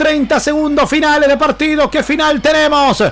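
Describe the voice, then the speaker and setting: Speaking at a fairly slow pace over noticeable background noise, a man has an extremely high pitch. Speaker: basketball play-by-play commentator. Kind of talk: live sports commentary. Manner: excitable, rising intensity in the final minute.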